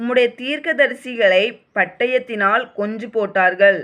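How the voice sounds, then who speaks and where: The woman's voice sits fairly high in pitch and shows ordinary pitch variation. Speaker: Bible reader. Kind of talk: reading aloud. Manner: calm; emotional.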